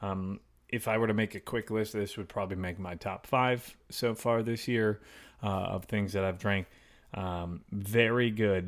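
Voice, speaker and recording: In a very clean recording with a silent background, a man with a plain, everyday voice and an American accent speaks at a fairly slow pace, with a fairly low pitch and fairly even intonation. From Chicago area. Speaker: podcast co-host. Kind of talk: casual chat.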